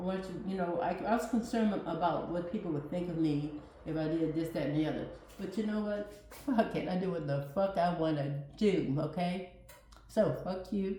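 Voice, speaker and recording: Over noticeable background noise and audible room echo, a woman with a fairly low pitch speaks at a moderate pace in an animated tone with ordinary pitch variation. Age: 60s. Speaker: cooking channel host. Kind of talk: casual vlog monologue.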